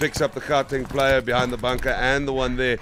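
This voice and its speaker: Noticeable background noise sits behind a man speaking at medium pitch. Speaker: paintball commentator. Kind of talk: live commentary. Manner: animated.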